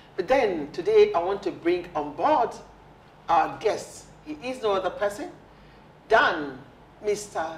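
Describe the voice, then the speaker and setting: Amid light background noise and audible room echo, a woman at medium pitch talks very slowly, with very wide pitch swings and long, frequent pauses. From Nigeria. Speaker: health TV talk show anchor, doctor. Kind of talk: TV talk show discussion. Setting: TV studio. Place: studio. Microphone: lapel.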